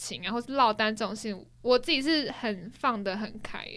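In a bright, sharp tone, a woman speaks at a moderate pace with very wide pitch swings. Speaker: podcast co-host. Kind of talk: casual chat.

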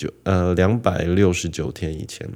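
The man's voice sits at a very deep, low pitch. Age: 20s. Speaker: podcaster. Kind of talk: storytelling monologue.

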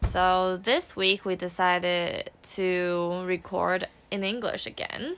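A woman with a Mandarin accent speaks very slowly at a medium pitch, her intonation flat and monotone. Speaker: podcast co-host. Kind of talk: casual chat.

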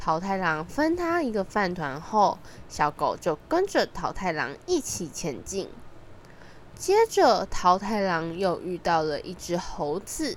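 A woman speaks at a fairly low pitch and a fairly slow pace. Her pitch swings widely.

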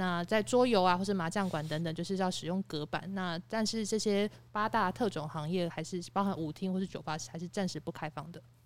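A woman talks at a fairly quick pace in a normal speaking voice, with medium pitch, ordinary pitch variation and hardly any pauses. The recording is very clean with a silent background. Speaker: podcast panelist. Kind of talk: casual chat.

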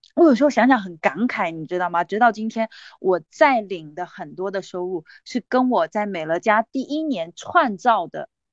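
With an animated tone, a woman talks at a moderate pace and medium pitch, her pitch swinging very widely and her loudness rising and falling a lot. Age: 40s. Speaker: direct-sales business leader and motivational speaker. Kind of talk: sales pitch.

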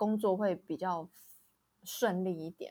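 A woman speaks in a normal speaking voice at a medium pitch. Her pace is fairly slow, and the recording is very clean with a silent background. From Taiwan. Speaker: podcast co-host. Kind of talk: casual chat.

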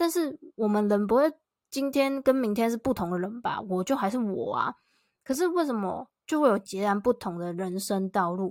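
In a very clean recording with a silent background, a woman speaks at a moderate pace with lively intonation and fairly high pitch, the sound dry and close with no echo. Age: 20s. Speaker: solo podcaster and content creator. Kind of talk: casual solo talk.

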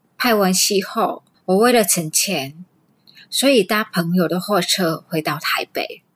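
With a Vietnamese accent, a woman speaks very slowly at a medium pitch with ordinary pitch variation. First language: Vietnamese (speaking Chinese). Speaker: immigrant storyteller, amateur actress. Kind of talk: recorded personal storytelling.

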